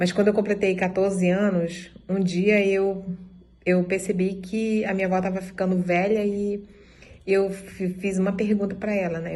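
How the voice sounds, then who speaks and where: A woman's somewhat breathy, dark, mellow voice at medium pitch, moderately paced and monotone, with audible room echo. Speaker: dance group member. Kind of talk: testimony.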